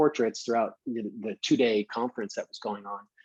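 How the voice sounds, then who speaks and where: Against a quiet background, a man with a New York accent and medium pitch talks at a fairly quick pace, the sound dry and close with no echo. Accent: New York, still present. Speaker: professional photographer. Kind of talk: lecture.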